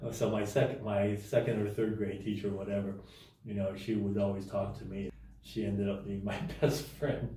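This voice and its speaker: A man with a fairly low pitch speaks at a moderate pace in a dark, mellow, somewhat breathy tone. His intonation is fairly even, and audible room echo surrounds him. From Hong Kong and United States. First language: Cantonese. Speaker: realtor. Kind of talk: interview. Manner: halting, many repeats and fillers.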